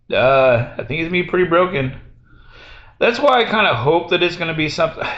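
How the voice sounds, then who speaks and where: Loud and very fast, a man talks in a high voice with lively intonation. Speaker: gaming streamer. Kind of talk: casual chat. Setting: hotel room, live with Discord.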